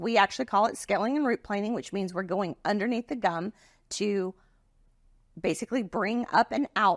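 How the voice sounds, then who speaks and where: A woman puts on a character voice, raspy and medium in pitch, at a moderate pace, on a very clean recording with a silent background and a dry, close sound with no echo. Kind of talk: professional explanation. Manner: fast.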